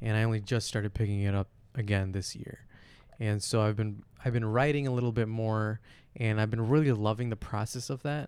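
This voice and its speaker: A man with an American accent and an unremarkable speaking voice talks at a fairly quick pace, his fairly low pitch held in fairly even intonation. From Flint, Michigan, US. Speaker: podcast guest. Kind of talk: casual chat.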